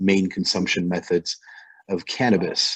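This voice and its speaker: A man with a very deep, low pitch speaks with fairly even intonation. Music plays behind him. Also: dry, close sound with no echo. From France. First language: French. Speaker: vaping company CEO. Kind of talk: panel introduction. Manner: halting.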